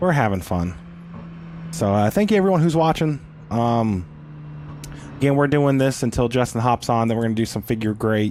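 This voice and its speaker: A man with a medium pitch talks at a moderate pace in an animated tone, his pitch swinging very widely while his loudness stays very even. Long, frequent pauses break up his speech, and noticeable background noise runs underneath. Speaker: sim racing streamer. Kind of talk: live gaming stream commentary. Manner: casual, self-deprecating, animated.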